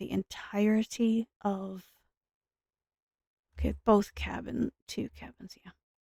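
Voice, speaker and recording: A soft-spoken woman at medium pitch talks fairly slowly in a dark, mellow, somewhat breathy voice, with a dry, close sound and no echo. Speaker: gaming streamer. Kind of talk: casual gameplay commentary.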